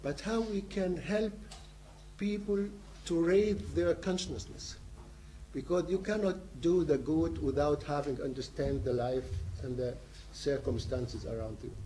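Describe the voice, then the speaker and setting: A man talks at a fairly slow pace in a dark, mellow, somewhat breathy tone, with long, frequent pauses. His pitch swings very widely, and light background noise sits behind him. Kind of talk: seminar talk, personal narrative. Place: meeting room. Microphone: camera far.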